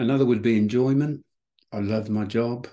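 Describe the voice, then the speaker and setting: With a dark, mellow tone, a man speaks at a moderate pace with ordinary pitch variation. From South Wales. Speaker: retired headteacher. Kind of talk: interview.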